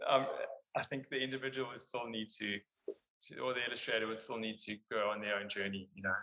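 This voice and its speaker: Talking at a fairly quick pace, a man uses a medium pitch, a bright, sharp tone and fairly even intonation. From South Africa (Cape Town). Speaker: illustration studio partner, artist. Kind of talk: interview conversation.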